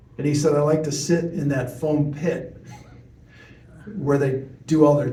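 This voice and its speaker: Somewhat breathy and fairly high-pitched, a man with an American accent has a dark, mellow tone, with audible room echo around him. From US Midwest, Chicago. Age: 60s. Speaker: TV news reporter. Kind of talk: talk to audience, storytelling Q&A.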